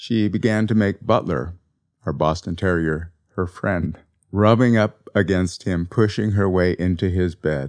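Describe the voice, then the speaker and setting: Against a quiet background, a man speaks with a very deep, low pitch and ordinary pitch variation. His tone is gentle and his pace fairly slow. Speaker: podcast host and author. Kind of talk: eulogy for a pet cat, read in a reflective spiritual-talk style, after a poem reading. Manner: gentle, tender and contemplative; slow, reflective and heartfelt.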